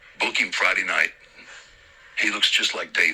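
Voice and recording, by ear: The put-on character voice is raspy and gravelly, delivered at a moderate pace. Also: man, extremely high pitch for a man.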